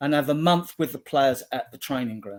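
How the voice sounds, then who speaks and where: This is an unremarkable speaking voice at a fairly quick pace. Its intonation is lively. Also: man. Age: 60s. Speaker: football fan group admin. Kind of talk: casual chat.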